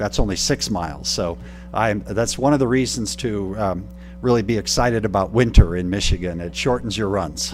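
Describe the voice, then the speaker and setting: Against noticeable background noise, a man speaks at a moderate pace in a fairly low pitch with very wide pitch swings. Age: 60s. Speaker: retiring college president. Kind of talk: city council meeting remarks.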